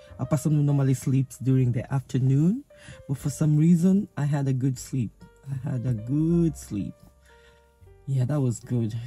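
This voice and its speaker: A woman speaks with a very deep, low pitch. Faint music plays in the background, and the sound is dry with no echo. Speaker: vlogger. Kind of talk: casual vlog chat. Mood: relaxed, reflective. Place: car. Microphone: phone near.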